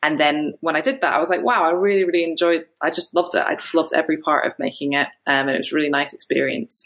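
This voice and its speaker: A woman's very fast, fairly low-pitched delivery with lively intonation and hardly any pauses. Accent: Edinburgh. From Scotland, Edinburgh. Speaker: film director. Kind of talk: interview.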